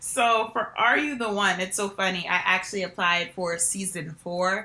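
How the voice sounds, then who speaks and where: Her medium-pitched voice moves at a moderate pace, this woman showing ordinary pitch variation. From New Jersey. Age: 20s. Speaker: reality TV contestant. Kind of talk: interview. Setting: podcast.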